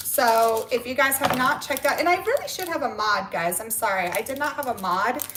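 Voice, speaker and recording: Over noticeable background noise, a woman with a high pitch talks at a fairly quick pace in an animated tone, her pitch swinging very widely with hardly any pauses. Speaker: livestreamer. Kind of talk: casual chat. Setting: live stream.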